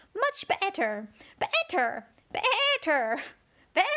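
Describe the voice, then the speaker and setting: A woman's squeaky, put-on character voice, extremely high-pitched with very wide pitch swings, at a very slow pace. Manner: bleating like a sheep.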